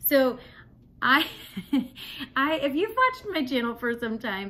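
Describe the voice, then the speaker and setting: A woman's voice at a moderate pace, with lively intonation. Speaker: food vlogger. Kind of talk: casual vlog chat. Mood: warm, excited. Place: home room.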